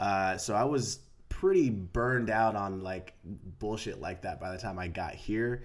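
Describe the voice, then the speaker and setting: A man with a fairly low voice and ordinary pitch variation talks at a fairly slow pace amid audible room echo. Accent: American. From US West Coast, San Diego. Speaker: actor. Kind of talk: casual chat. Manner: halting.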